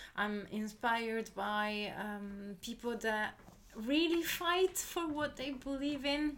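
Speaking at a very slow pace, a woman uses lively intonation at a fairly high pitch. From southern Italy, Molise. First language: Italian. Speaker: creative producer. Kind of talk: casual interview. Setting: in person recording.

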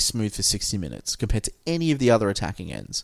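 A man with an Australian accent speaks at a fairly quick pace on a very clean recording with a silent background. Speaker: podcast host. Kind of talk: casual chat. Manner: consciously lowered cadence.

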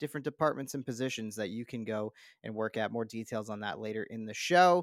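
This man speaks with a Canadian accent. The recording is very clean, dry and close, with a silent background and no echo. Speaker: podcast host. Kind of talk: casual chat.

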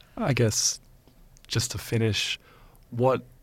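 In a very clean recording with a silent background, a man with an Australian accent speaks at a fairly slow pace. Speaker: podcast host. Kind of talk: interview. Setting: studio.

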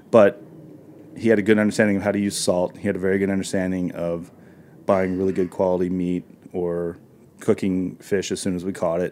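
Flat and monotone in intonation, a man with an American accent and a very deep, low pitch talks at a fairly quick pace in a dark, mellow tone. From US South, northern Arkansas. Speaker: chef and restaurateur. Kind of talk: interview. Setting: studio.

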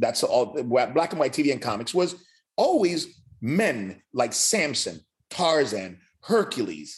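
The pitch swings very widely. Vocal fry runs through the voice. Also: man. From Cuba, raised in Miami. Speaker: fitness educator and trainer. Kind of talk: casual interview.

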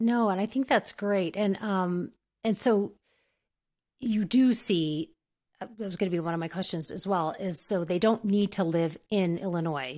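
On a very clean recording with a silent background, a woman with a plain, everyday voice talks at medium pitch and a moderate pace with ordinary pitch variation. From New Mexico, US. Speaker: podcast host, speech-language pathologist. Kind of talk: interview, casual professional chat.

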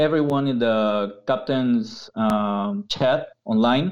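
A man with a Peruvian accent speaks very slowly at a medium pitch, his intonation lively. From Peru, Lima. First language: Spanish. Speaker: university professor. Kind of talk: casual interview. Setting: video call.

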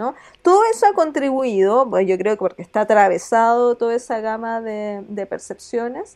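Ordinary pitch variation marks this speech, which moves at a moderate pace. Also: woman, fairly high pitch for a woman. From southern Chile, small town. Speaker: law academic. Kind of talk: interview. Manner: halting, many repetitions.

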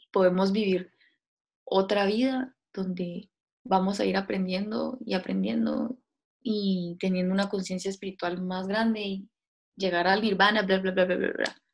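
A woman speaks at a fairly slow pace in a somewhat breathy voice. Her pitch is medium and her intonation fairly even. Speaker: podcast co-host. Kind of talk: casual philosophical chat.

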